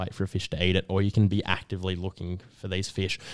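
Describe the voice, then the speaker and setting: A man with an Australian accent speaks with a very deep, low pitch. The recording is very clean, with a silent background and a dry, close sound with no echo. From Melbourne, Australia (Northcote). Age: 20s. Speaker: fly shop staff member and university student. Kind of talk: casual interview.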